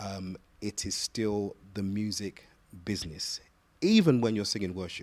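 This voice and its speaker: A man speaks with a British accent at a fairly low pitch. His pace is fairly slow. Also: ordinary pitch variation. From London, England. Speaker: gospel singer and voice teacher. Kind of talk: interview. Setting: studio. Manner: halting, repeats words.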